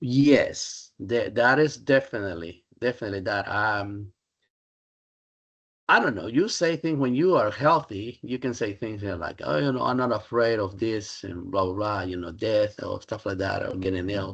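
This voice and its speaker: Lively intonation over a quiet background. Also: man, fairly low pitch for a man, moderate pace. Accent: Spanish. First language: Spanish. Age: 60s. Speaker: Spanish professor. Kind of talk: interview. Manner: halting.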